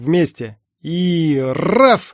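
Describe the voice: At a very slow pace, a man does a put-on character voice full of big pitch swings.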